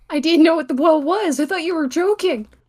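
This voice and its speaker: The pitch here is high. It's a put-on character voice. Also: fairly quick pace. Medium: machinima. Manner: earnest, interjecting.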